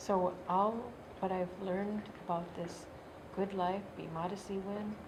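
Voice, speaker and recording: In an American accent, a woman talks at a fairly slow pace with a medium pitch and monotone, flat intonation, with audible room echo. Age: 60s. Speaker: Native elder and youth worker. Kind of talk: personal testimony interview.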